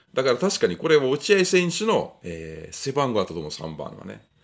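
Against a quiet background, a man's voice swings very widely in pitch. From Europe. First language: a European language (speaking Japanese). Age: middle-aged. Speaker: gun review YouTuber. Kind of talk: casual vlog monologue. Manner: relaxed. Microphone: phone near.

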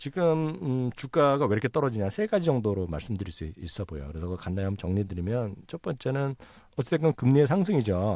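Over a silent background in a very clean recording, a man talks at a fairly quick pace in a dark, mellow tone with very wide pitch swings. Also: medium pitch for a man. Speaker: professor. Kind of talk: casual expert discussion on market selloff. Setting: recording studio.

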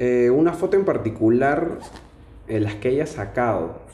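A man talks at a very slow pace. There is audible room echo. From Lima, Peru. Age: 20s. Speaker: financial auditor; interviewee. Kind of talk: casual interview monologue. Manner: hesitant, many fillers. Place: home room. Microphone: camera far.

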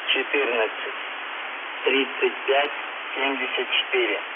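Long, frequent pauses break up the speech amid loud background noise. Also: man. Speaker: radio station announcer. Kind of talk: numbers station message read. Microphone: two way radio.

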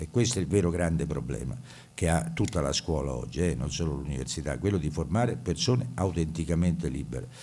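A man speaks at a very fast pace with vocal fry. His voice has a very deep, low pitch and a dark, mellow tone. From Italy. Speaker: university professor and administrator. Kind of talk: welcome address at an event. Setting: stage with audience. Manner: formal. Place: hall. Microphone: podium.

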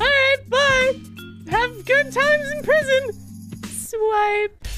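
With faint music in the background, a female-sounding voice does a put-on character voice at an extremely high pitch and a very slow pace. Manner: flirty, bubbly.

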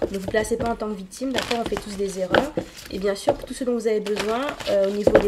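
A woman's voice has a dark, mellow tone with ordinary pitch variation. Faint background noise is present.

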